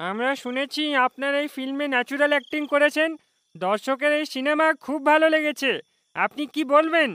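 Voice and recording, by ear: This is a cartoonish character voice at a high pitch. It moves at a moderate pace.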